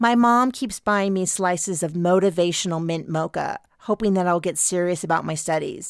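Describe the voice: The passage is read aloud plainly with ordinary pitch variation.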